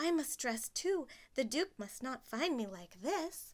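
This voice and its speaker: A put-on character voice with very wide pitch swings moves at a fairly slow pace on a very clean recording with a silent background. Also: woman, high pitch for a woman. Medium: read story.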